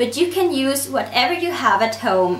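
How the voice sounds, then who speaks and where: Noticeable background noise and audible room echo accompany a woman with a high voice who speaks at a moderate pace. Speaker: nail art YouTuber. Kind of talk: tutorial.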